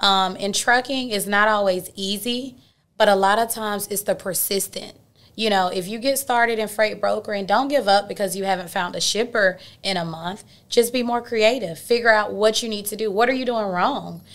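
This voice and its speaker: A woman with an Atlanta accent speaks at a moderate pace and medium pitch with fairly even intonation, in a very clean recording with a silent background. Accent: Southern US (Atlanta). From Atlanta, Georgia. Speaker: dispatch company owner, entrepreneur. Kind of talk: interview. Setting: studio.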